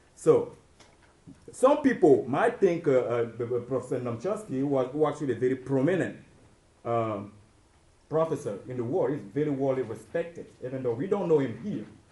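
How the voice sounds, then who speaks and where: The speaker talks at a fairly quick pace in an American accent, with lively intonation and a dark, mellow tone. The voice is somewhat breathy, broken by long, frequent pauses. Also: man, fairly high pitch for a man. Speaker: student presenter. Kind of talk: class presentation. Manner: halting, many filler words.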